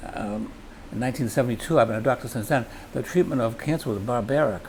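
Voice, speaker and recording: Over noticeable background noise, a man with a medium pitch talks at a very fast pace with ordinary pitch variation. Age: 80s+. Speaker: doctor and charity cyclist. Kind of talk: interview. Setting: on location at food pantry.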